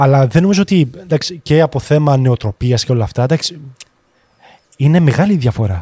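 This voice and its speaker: A man with a fairly high pitch, a dark, mellow tone and a somewhat breathy voice talks at a moderate pace with lively intonation and very even loudness, in dry, close sound with no echo. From France (Grenoble) until 12, then Thessaloniki. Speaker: 3D artist. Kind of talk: casual chat.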